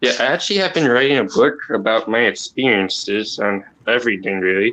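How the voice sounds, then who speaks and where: A man with a bright, sharp tone talks at a moderate pace with lively intonation. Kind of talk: casual chat.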